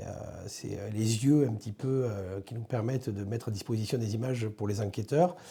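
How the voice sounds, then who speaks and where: Somewhat breathy, dark and mellow speech in a southern French accent, with fairly even intonation, a fairly quick pace and a very clean recording over a silent background. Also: man. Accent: southern French accent, kept. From southern France, Ariège. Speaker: police director. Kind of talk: interview. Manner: hesitant, many fillers.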